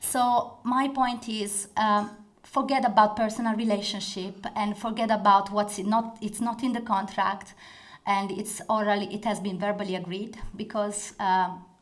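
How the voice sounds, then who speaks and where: Audible room echo surrounds a woman speaking at medium pitch. She talks at a moderate pace with monotone, flat intonation. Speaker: corporate lawyer. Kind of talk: conference talk.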